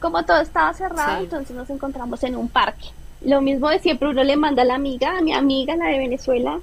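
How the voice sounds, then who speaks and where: A woman talks very fast at a high pitch. Noticeable background noise runs behind her. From Colombia. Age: 20s. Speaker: former au pair. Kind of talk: interview.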